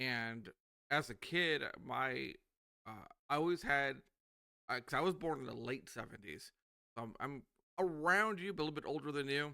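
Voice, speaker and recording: With an American accent and a fairly high pitch, a man talks at a moderate pace in a bright, sharp tone, using lively intonation and long, frequent pauses. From USA. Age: 40s. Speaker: podcast host. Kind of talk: casual interview chat.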